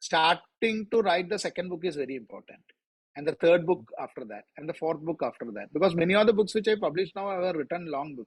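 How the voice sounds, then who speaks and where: Speaking with an Indian accent at a very fast pace, a man with a high pitch uses lively intonation and big swings in loudness, in a dry, close sound with no echo. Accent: Indian accent, kids correct it. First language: Malayalam. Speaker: author. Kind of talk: interview.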